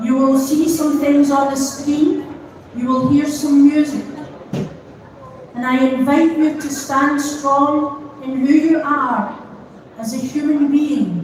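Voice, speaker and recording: In a Scottish accent, a woman with a high pitch and a gentle, calm tone speaks at a very slow pace with long, frequent pauses and fairly even intonation, amid audible room echo and noticeable background noise. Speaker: pastor. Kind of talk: vigil address.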